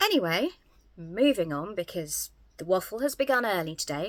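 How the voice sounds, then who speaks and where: Very wide pitch swings and a bright, sharp tone at a moderate pace, broken by long, frequent pauses. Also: woman. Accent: southern English. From England, Southampton. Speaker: YouTuber. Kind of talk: casual vlog. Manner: hesitant, many fillers.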